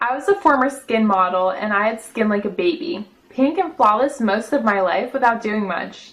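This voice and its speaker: Fairly high in pitch, a woman speaks in a plain, everyday voice. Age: 30s. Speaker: customer giving testimonial. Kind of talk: testimony.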